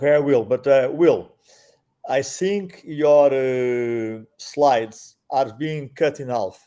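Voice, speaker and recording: Speaking very slowly in a Portuguese accent, a man has a dark, mellow tone, a fairly high pitch and ordinary pitch variation. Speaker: tax and immigration lawyer. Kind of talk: webinar presentation. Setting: online webinar.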